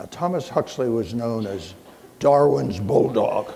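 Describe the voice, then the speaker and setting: A man at a medium pitch and fairly slow pace, with ordinary pitch variation, noticeable background noise and audible room echo. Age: 80s+. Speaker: physician and keynote speaker. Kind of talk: keynote lecture.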